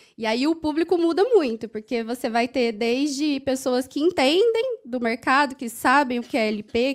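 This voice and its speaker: In a slight Minas Gerais accent, a high-pitched woman talks at a moderate pace with lively intonation. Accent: slight Minas Gerais (mineiro) tinge. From Franca, interior of São Paulo state, Brazil. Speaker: HR compensation manager. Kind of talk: conference panel talk.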